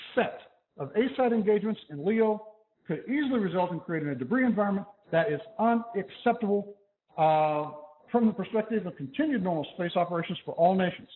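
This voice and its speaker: Loud and fairly quick, a man talks with lively intonation at a high pitch. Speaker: physics professor. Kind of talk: lecture.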